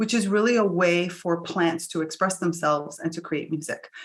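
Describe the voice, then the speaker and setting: Fairly low-pitched for a woman, hers is a plain, everyday voice with an American accent. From US (Cuban American). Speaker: plant intelligence mentor and music engineer. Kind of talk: interview. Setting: online summit interview.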